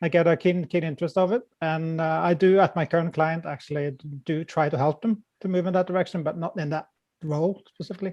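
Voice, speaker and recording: Over a quiet background, a man with a Norwegian accent talks at a very fast pace in a high pitch with fairly even intonation. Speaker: software architecture consultant. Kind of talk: panel discussion. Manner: halting.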